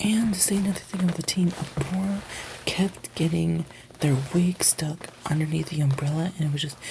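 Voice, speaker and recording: A soft-spoken man talks at a moderate pace with ordinary pitch variation. Noticeable background noise sits behind him. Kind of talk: ASMR review and recap of a TV show, casual commentary.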